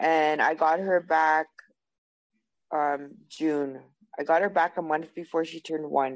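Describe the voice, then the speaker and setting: A woman with a Canadian prairie accent talks at a fairly slow pace with long, frequent pauses. Her very deep, low pitch holds a monotone, flat intonation. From Canada, Winnipeg, Manitoba. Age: 30s. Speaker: person in addiction recovery. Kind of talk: testimony. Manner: hesitant, many fillers.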